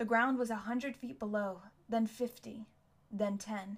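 The intonation here is fairly even. It is read aloud in a natural voice.

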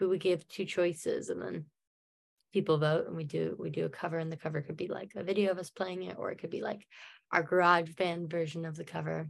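With fairly even intonation, a woman speaks in a normal speaking voice. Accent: American. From United States. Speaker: musician. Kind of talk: casual interview. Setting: remote call. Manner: rambling, lots of fillers.

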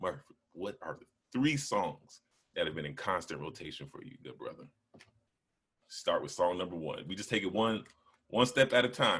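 Moderate-paced male speech broken by long, frequent pauses, its loudness swinging widely. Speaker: podcast host. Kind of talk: casual podcast interview. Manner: animated, conversational.

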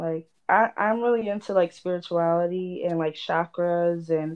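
A woman talks fairly slowly in a normal speaking voice. Her pitch is fairly low, with ordinary variation. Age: 20s. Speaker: astrology enthusiast. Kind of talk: casual chat.

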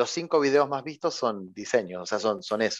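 With a Rioplatense accent, a man speaks at a fairly high pitch using lively intonation. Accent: Argentine Spanish (rioplatense). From Argentina, Santa Fe. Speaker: philosophy teacher and educational YouTuber. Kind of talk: interview. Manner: hesitant with repetitions.

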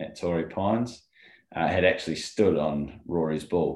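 A man with an Australian accent, very deep low pitch, ordinary pitch variation and a fairly slow pace. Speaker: golf rules expert co-host. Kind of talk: casual chat. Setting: video call.

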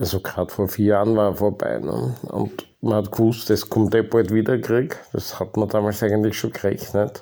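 In a dark, mellow tone with vocal fry, a man talks at a fairly low pitch with fairly even intonation and hardly any pauses. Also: moderate pace. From Austria. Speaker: podcast host. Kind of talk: personal monologue. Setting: home basement.

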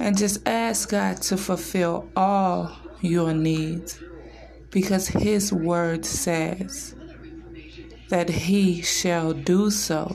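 A warm tone at a very slow pace, with very even loudness over noticeable background noise. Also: woman, fairly low pitch for a woman, fairly even intonation. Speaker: social media personality. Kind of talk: devotional prayer; morning devotional vlog. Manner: fervent, earnest; warm, reverent, measured.

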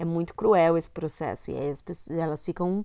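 Speaking at a moderate pace, a woman uses a fairly low pitch and monotone, flat intonation. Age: 30s. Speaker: podcast co-host. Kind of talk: casual chat.

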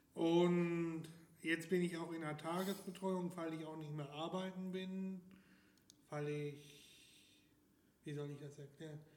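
Speaking very slowly in a high, flat monotone, a man leaves long, frequent pauses. Room echo is audible. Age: 20s. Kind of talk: casual interview.

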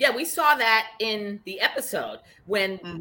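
Animated in tone, a woman talks with a Boston accent. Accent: Boston, noticeable. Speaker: podcast co-host. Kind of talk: casual chat, reality TV recap. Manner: animated, excitable.

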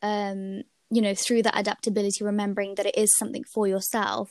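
A woman's medium-pitched voice with a slight British accent, monotone and flat, at a moderate pace, in a very clean recording with a silent background and a dry, close sound with no echo. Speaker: podcast host and university student. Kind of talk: casual interview chat.

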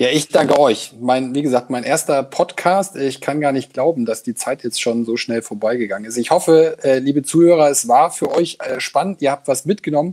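With a dry, close sound and no echo, a man speaks at a moderate pace in a fairly high pitch with ordinary pitch variation. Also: hardly any pauses. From Lower Saxony, Germany. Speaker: agency executive. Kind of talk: interview. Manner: halting.

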